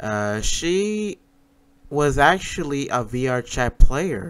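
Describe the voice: A man's voice with a clear, smooth and fairly bright tone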